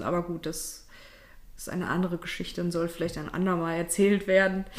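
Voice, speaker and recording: The speaker is a woman. Her pitch is medium. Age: 30s. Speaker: podcast co-host. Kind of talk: casual chat.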